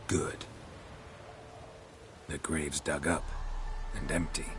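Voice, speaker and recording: A man puts on a character voice and takes his time, speaking rather slowly. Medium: machinima. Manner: terse, dry.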